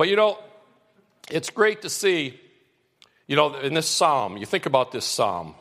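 With long, frequent pauses and a fairly slow pace, a man speaks in a fairly high, warm voice with vocal fry and very wide pitch swings. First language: non-English (immigrated at seven). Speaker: campus pastor. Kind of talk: sermon. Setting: church. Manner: warm, conversational.

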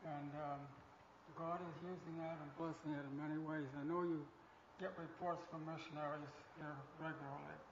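A man talks in a high pitch while noticeable background noise carries on around him. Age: 80s+. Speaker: retired missionary. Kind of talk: testimony. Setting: church with congregation. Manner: halting.

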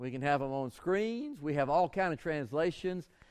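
A man with a fairly high pitch and lively intonation speaks against a quiet background. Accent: Southern US. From US South, southwest Georgia. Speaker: pastor. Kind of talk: sermon. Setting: church.

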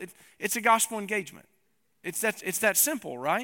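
With a Tennessee accent, a man in a raised, projected voice and bright, sharp tone talks at a very fast pace, high pitch and lively intonation on a very clean recording with a silent background. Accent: Southern US (Tennessee). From East Tennessee. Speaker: pastor. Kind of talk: sermon. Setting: church.

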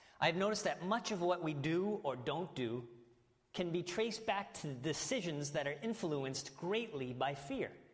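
A man's high-pitched voice at a moderate pace, with lively intonation, very even loudness and audible room echo. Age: 30s. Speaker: pastor. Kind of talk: sermon.

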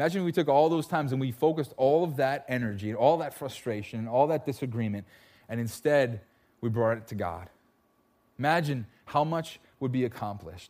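Speaking at a fairly quick pace, a man uses a normal speaking voice with medium pitch and lively intonation, recorded very cleanly against a silent background. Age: 30s. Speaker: pastor. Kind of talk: sermon. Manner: casual.

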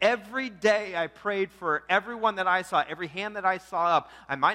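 This is an unforced reading voice. Its pitch varies in an ordinary way.

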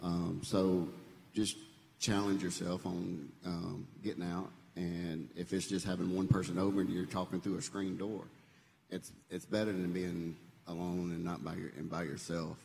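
A man's very deep, low voice in a Southern US accent, monotone and flat, at a moderate pace. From Memphis area, Tennessee. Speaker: church member. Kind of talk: testimony.

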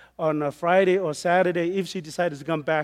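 A high-pitched man with a Samoan accent, at a fairly quick pace and with fairly even intonation. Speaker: missionary preacher. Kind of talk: sermon. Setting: church with congregation.

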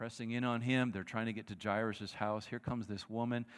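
Against a silent background in a very clean recording, a man with a plain, everyday voice talks at medium pitch and a fairly quick pace. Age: 50s. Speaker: guest preacher. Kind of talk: sermon. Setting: church. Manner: conversational.

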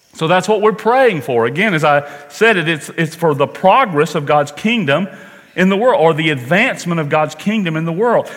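With an American accent, the speaker uses lively intonation at a moderate pace over noticeable background noise. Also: man, high pitch for a man. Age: 60s. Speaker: pastor. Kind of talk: sermon.

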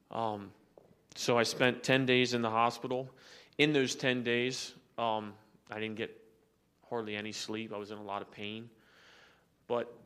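A man's medium-pitched, flat, monotone delivery at a moderate pace, with long, frequent pauses, big swings in loudness and audible room echo. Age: 30s. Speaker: church member sharing testimony. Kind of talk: testimony. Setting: church. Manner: halting.

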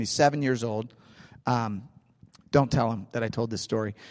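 This man talks at a moderate pace in a St. Louis accent. His intonation stays fairly even. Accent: St. Louis Midwestern American. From US Midwest, St. Louis. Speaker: pastor. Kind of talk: sermon.

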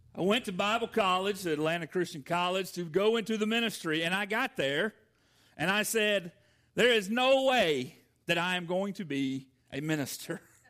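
A man with a Southern US accent and a bright, sharp tone speaks at a moderate pace, high in pitch with ordinary pitch variation, in a very clean recording over a silent background. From US South, Georgia. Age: 40s. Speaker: pastor. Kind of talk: sermon. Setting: church.

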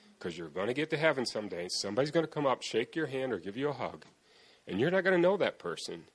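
A man's voice swings very widely in pitch and carries vocal fry. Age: 50s. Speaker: foster and adoptive father. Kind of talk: testimony.

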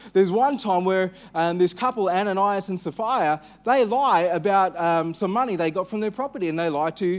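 The speaker talks at a moderate pace with an Australian accent and ordinary pitch variation. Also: man. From Western Australia. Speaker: pastor. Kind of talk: sermon. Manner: hesitant, frequent fillers.

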